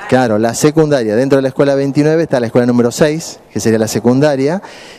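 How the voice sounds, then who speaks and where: Ordinary pitch variation colors a man's speech at a fairly quick pace. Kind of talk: public speech to small audience. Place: meeting room. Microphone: handheld.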